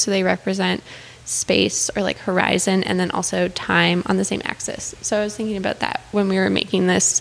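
Speaking with a Canadian accent, a woman uses a plain, everyday voice. Her pace is moderate and her pitch medium. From Calgary, Alberta, Canada. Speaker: artist. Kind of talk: casual interview.

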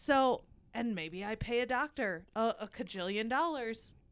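In a very clean recording with a silent background, a woman speaks in an animated tone with lively intonation. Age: 30s. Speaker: podcast host. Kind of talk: casual chat.

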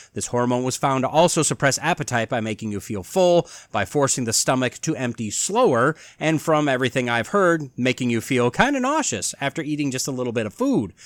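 A normal speaking voice from a man, medium in pitch with ordinary pitch variation, at a fairly quick pace with hardly any pauses, in a dry, close sound with no echo and a very clean recording over a silent background. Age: 40s. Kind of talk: solo commentary podcast.

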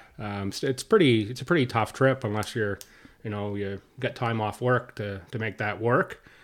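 This man has an unremarkable speaking voice at medium pitch, talking at a moderate pace with ordinary pitch variation in a very clean recording with a silent background. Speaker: podcast co-host. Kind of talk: casual chat.

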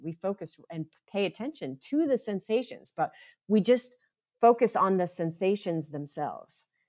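Speaking at a moderate pace with an American accent, a woman uses a medium pitch and very wide pitch swings. The recording is very clean, with a silent background. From US East (upstate New York, then Florida). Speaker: mindfulness teacher and therapist. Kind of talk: interview.

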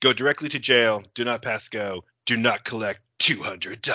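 Putting on a booming, dramatic character voice, a man speaks at a moderate pace and medium pitch with fairly even intonation. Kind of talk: grand, theatrical. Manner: dramatic, booming announcer.

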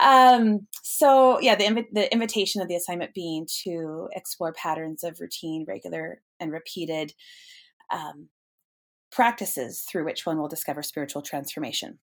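A woman with an American accent, fairly low in pitch, at a moderate pace, on a very clean recording with a silent background. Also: lively intonation. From US Pacific Northwest, Snohomish, Washington. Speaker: eco-theologian and pilgrimage guide. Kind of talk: interview conversation. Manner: halting, many fillers.

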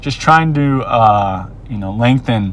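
A speaker with an American accent amid noticeable background noise. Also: man. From Minnesota, US. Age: 30s. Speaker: podcast host. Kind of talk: solo monologue. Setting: outdoors, watching surfers. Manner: casual, many fillers.

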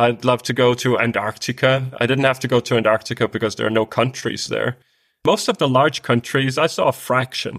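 Speaking with a Danish accent at a fairly quick pace, a man keeps his intonation fairly even in a dry, close sound with no echo, recorded very cleanly against a silent background. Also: medium pitch for a man. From Denmark. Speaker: world traveler. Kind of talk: interview.

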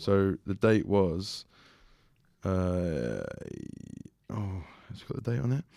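A man with an English accent speaks very slowly, his voice fairly low and his tone dark and mellow. Long, frequent pauses and big swings in loudness mark this very clean recording with a silent background. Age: 20s. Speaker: fitness coach and podcast co-host. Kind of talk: casual chat. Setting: studio.

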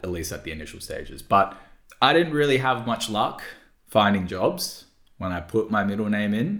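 In a normal speaking voice, a man with a fairly low pitch talks with lively intonation and big swings in loudness. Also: moderate pace. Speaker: podcast host. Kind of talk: casual podcast conversation.

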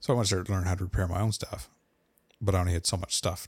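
A man with a very deep, low pitch sounds somewhat breathy on a very clean recording with a silent background. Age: 40s. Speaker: podcaster and gear reviewer. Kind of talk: casual chat.

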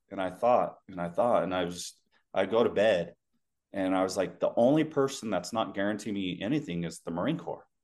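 A man with a Western US accent speaks at a moderate pace in a fairly low pitch. His intonation is lively, and the background is quiet. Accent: general American, laid back, Western US. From Utah. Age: 30s. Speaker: former Marine and security contractor. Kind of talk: casual interview. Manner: laid back.

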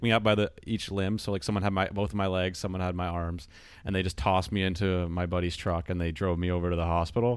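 A man with a very deep, low pitch talks at a very fast pace with hardly any pauses. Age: 20s. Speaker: podcast co-host. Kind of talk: casual chat. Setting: online call.

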